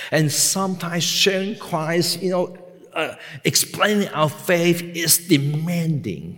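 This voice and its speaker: This is a man speaking with a Hong Kong accent. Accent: Hong Kong Cantonese-accented English. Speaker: pastor. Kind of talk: sermon. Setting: seminary chapel with audience.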